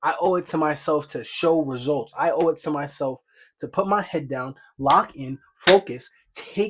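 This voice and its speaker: Animated and fairly high-pitched, a man talks at a moderate pace with ordinary pitch variation. The recording is very clean, with a silent background. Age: 20s. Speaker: vlogger, day trader. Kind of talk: motivational vlog monologue.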